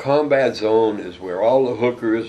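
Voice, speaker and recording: Over noticeable background noise and audible room echo, the voice moves at a fairly slow pace with ordinary pitch variation. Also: man. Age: 70s. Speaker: jazz drummer. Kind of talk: reminiscing interview. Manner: animated storytelling.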